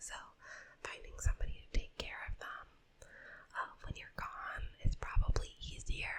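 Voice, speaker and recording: Whispering in a gentle tone at a moderate pace, a woman makes big swings in loudness and leaves long, frequent pauses. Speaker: ASMR creator. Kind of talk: ASMR pet-shop roleplay, advice talk. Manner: whispered, soft-spoken, gentle.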